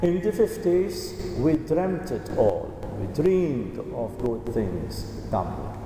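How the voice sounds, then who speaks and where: A man speaks at a very slow pace, with audible room echo and noticeable background noise in the recording. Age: 70s. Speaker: priest. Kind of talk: sermon.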